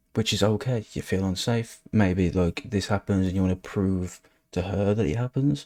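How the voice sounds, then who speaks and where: Recorded very clean, dry and close with no echo and a silent background, a man with a West Midlands accent speaks at a moderate pace in a dark, mellow tone with ordinary pitch variation. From England, West Midlands. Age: 20s. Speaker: social media commentator. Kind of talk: casual commentary. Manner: halting.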